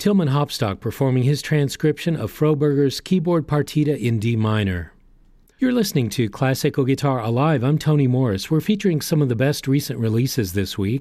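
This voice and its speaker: Speaking at a fairly quick pace, a man with a medium pitch and a dark, mellow tone uses lively intonation and keeps his loudness very even. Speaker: radio host. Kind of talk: radio announcing, scripted; station announcer: brief, polished radio continuity between music pieces. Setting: studio. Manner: formal; smooth, measured, even-paced.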